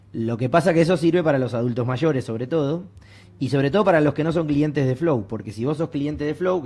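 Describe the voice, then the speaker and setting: A man at a very fast pace, in a Rioplatense accent, with ordinary pitch variation. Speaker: university researcher. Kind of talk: academic panel discussion.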